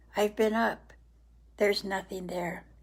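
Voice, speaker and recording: A woman's put-on character voice at medium pitch, monotone and flat, at a moderate pace. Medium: read story. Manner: soft, earnest.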